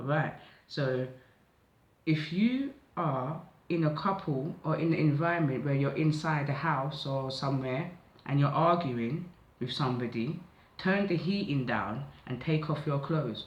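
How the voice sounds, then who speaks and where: A man speaks with long, frequent pauses and a fairly high pitch. His pitch varies in an ordinary way, and audible room echo surrounds the voice. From south London (Catford). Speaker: tarot/oracle card reader. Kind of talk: psychic oracle reading, casual monologue. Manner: casual, conversational.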